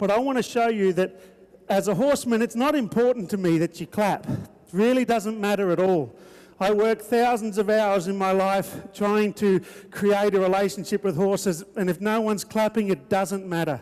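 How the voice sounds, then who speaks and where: Delivered at a moderate pace in an Australian accent, this animated voice has ordinary pitch variation and very even loudness. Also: man, high pitch for a man. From Australia, Queensland. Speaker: horseman and entertainer. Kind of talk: live arena show commentary. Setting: arena with live audience. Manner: animated, showman.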